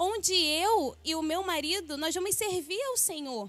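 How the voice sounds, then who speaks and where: This woman's pitch is extremely high, with ordinary variation in its rise and fall. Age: 20s. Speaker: church member giving testimony. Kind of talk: testimony.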